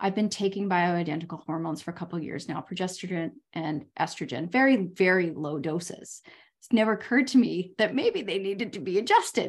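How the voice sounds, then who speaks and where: A woman has an ordinary speaking voice at a medium pitch, with lively intonation and a fairly quick pace. The recording is very clean, with a silent background. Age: 50s. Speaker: podcast host and life coach. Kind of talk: casual interview chat.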